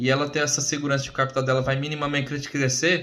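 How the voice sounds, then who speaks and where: A man's fairly high voice at a very fast pace, with audible room echo. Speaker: crypto presenter / job candidate. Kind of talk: informal presentation.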